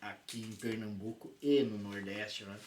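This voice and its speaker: A man with a Rio Grande do Sul accent speaks at a fairly slow pace over noticeable background noise. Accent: drawn-out regional accent (gaúcho). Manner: warm, energetic.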